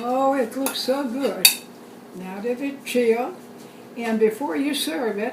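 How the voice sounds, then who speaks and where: There is noticeable background noise. Through it, a woman speaks in a high pitch. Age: 90s. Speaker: home cook, cooking video host. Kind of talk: cooking demonstration to camera. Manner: friendly, relaxed, conversational.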